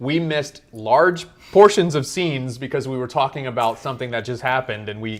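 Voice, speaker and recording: The delivery is animated, with lively intonation and a fairly quick pace. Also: man. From United States. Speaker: movie review podcaster. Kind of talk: casual chat.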